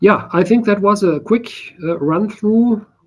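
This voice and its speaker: This speaker talks at a moderate pace with a German accent. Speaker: software developer presenting a project. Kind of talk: technical demo in online meeting.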